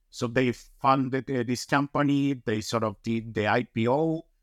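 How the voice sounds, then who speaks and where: A man with a Colombian accent, medium pitch, ordinary pitch variation, a fairly slow pace, and a dry, close sound with no echo. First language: Spanish. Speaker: mining company executive. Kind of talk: interview. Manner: enthusiastic.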